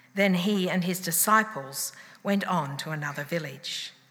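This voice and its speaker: An unremarkable speaking voice at a fairly slow pace. The intonation is lively. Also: woman. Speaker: scripture reader. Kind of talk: reading aloud. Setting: church.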